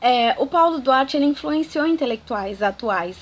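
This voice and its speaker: A woman speaks at a moderate pace. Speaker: archaeologist and educational YouTuber. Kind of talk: educational talk to camera. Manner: animated.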